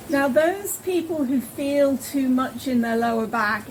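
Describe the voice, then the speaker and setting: Amid noticeable background noise, a woman speaks at a moderate pace with a calm tone and lively intonation. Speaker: yoga teacher. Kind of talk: guided yoga class. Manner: instructional, calm.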